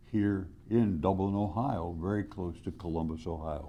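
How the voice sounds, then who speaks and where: At a fairly slow pace, the voice carries a dark, mellow tone, with audible room echo. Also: man. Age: 90s. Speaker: retired biology professor. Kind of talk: recorded video greeting. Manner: halting.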